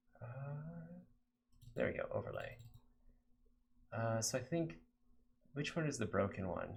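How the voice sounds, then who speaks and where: This man has an American accent and a somewhat breathy voice. He speaks at a fairly slow pace with lively intonation. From Texas, San Antonio. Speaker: game developer streamer. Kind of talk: live coding stream chat. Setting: live stream. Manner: halting, many fillers.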